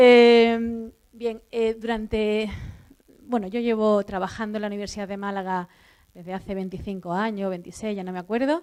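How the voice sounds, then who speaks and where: On a very clean recording with a silent background, a woman with an Andalusian accent talks at a moderate pace in a fairly high voice with fairly even intonation. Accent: Andalusian Spanish, drops s sounds. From southern Andalusia, Spain. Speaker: university professor. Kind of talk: conference talk. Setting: auditorium with audience. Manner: many fillers and restarts.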